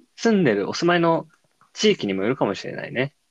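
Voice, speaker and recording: A man's fairly high voice at a fairly quick pace, with very wide pitch swings and a dry, close sound with no echo. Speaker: podcast co-host. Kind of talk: casual chat.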